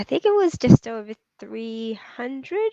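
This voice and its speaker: A woman's voice in a dry, close sound with no echo, over a quiet background. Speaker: property community founder being interviewed. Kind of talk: live interview.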